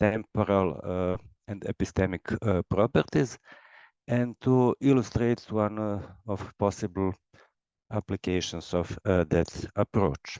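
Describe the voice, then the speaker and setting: With a dark, mellow tone and fairly low pitch, a man speaks at a fairly slow pace, the sound dry and close with no echo against a quiet background. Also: ordinary pitch variation. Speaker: logician, researcher. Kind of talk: lecture. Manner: halting, many fillers.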